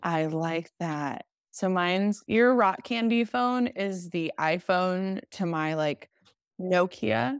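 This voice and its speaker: A woman with an American accent, very slow and with lively intonation, in a dry, close sound with no echo. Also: medium pitch for a woman. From US South, Nashville, Tennessee. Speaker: podcast guest. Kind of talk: casual chat.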